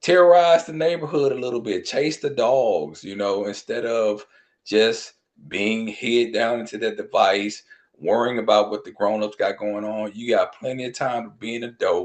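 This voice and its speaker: A man's plain, everyday voice with an American accent, medium in pitch, with ordinary pitch variation, big swings in loudness and a moderate pace. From US South. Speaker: children's book author. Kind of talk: interview.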